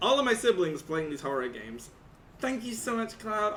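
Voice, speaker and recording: A man with a high pitch speaks in a raised, projected voice at a fairly quick pace, animated in tone and lively in intonation. Noticeable background noise and audible room echo are present. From Britain. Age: 20s. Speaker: streamer. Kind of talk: live stream chat.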